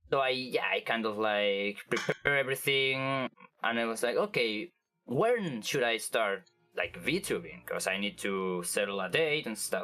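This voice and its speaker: Music plays in the background as someone with a Spanish accent speaks at a fairly slow pace. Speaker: vtuber. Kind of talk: interview. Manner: halting, many fillers and restarts.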